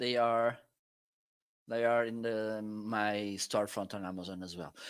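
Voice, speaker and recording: This man's bright, sharp tone comes through on a very clean recording with a silent background. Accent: Portuguese. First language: Portuguese. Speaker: product reviewer and live stream co-host. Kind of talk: casual live stream chat. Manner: halting.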